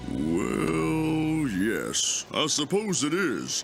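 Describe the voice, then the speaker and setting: Over clear background noise, a man puts on a cartoonish character voice at a fairly high pitch. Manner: gentle, measured.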